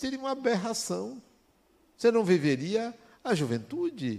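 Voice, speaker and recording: A man at a fairly slow pace, with very wide pitch swings, in a very clean recording with a silent background. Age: 60s. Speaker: spiritist lecturer. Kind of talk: spiritual talk.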